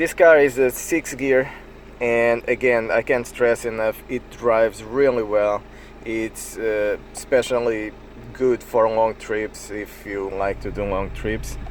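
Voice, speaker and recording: Over noticeable background noise, a man speaks at a very slow pace with a non-native accent. His pitch is medium and his intonation fairly even. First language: not English. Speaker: private car seller. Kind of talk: casual car walkaround talk to camera. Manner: hesitant, frequent fillers.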